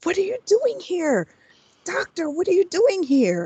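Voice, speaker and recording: A put-on character voice, squeaky, talks at a fairly slow pace with very wide pitch swings. The sound is dry and close, with no echo. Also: woman, extremely high pitch for a woman. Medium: actual play. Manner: stammering.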